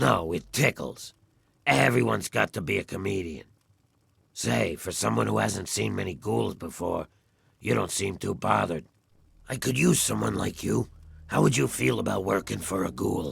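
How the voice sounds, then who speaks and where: Putting on a raspy character voice, a man speaks at a moderate pace with a very deep, low pitch and long, frequent pauses. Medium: video game. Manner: gruff, sardonic.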